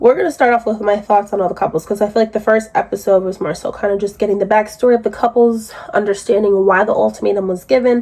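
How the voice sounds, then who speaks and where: Against noticeable background noise, a woman with a fairly high pitch talks at a very fast pace. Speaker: YouTube reality TV commentator. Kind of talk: casual recap commentary. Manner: conversational, filler-heavy.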